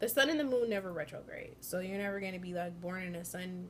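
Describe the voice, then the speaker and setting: A woman's somewhat breathy voice at medium pitch. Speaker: astrology vlogger. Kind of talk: casual explainer vlog. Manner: hesitant, many filler ums.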